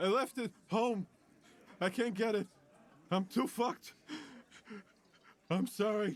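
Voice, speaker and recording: A man's put-on character voice, high in pitch and wheezy, at a fairly slow pace. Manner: wheezing, short of breath.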